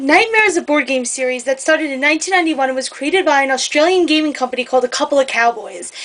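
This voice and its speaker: Barely pausing, a woman talks very fast in a high voice with lively intonation as noticeable background noise carries on. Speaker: board game reviewer. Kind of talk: casual review talk to camera. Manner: hesitant, some stuttering.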